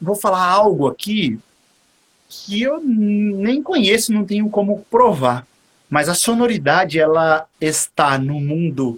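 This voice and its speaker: This man's high voice swings very widely in pitch. He speaks at a very slow pace. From São Paulo, Brazil (East Zone). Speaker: saxophonist. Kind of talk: casual interview. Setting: live stream video call.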